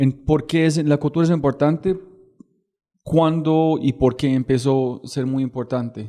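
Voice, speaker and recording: A man's fairly high voice with an English accent, dark and mellow in tone, fairly even in intonation, at a fairly slow pace. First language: English (speaking Spanish). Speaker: podcast host. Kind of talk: podcast interview.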